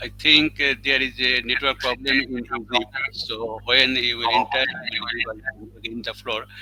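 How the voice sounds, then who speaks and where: A man with a Bengali accent, monotone and flat in intonation, big swings in loudness, over noticeable background noise. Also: medium pitch for a man, moderate pace. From Bangladesh. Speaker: program host and poet. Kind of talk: event hosting. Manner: formal.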